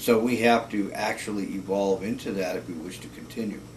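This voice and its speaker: Against noticeable background noise and audible room echo, a man with a very deep, low pitch talks fairly slowly with lively intonation. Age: 60s. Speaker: cinematographer. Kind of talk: casual video blog monologue. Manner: halting, many fillers.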